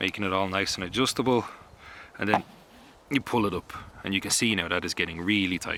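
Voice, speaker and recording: A man with an Irish accent, fairly low pitch and ordinary pitch variation, at a fairly quick pace in a dry, close sound with no echo. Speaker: bushcraft instructor. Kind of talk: tutorial.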